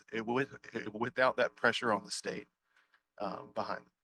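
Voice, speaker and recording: With a bright, sharp tone, a man speaks at medium pitch with fairly even intonation. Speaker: extension outreach specialist, conference presenter. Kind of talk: conference Q&A. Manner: halting, many repetitions and fillers.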